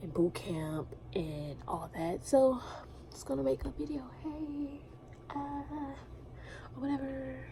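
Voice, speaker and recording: A woman whispering at a very slow pace, with long, frequent pauses, big swings in loudness and audible room echo. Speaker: navy recruit vlogger. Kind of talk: casual vlog. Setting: hotel front desk office at night.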